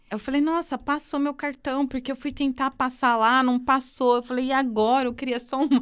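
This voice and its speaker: Speech with hardly any pauses comes through in a very clean recording against a silent background. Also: woman, high pitch for a woman, moderate pace. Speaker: podcast host. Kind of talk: casual chat. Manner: animated.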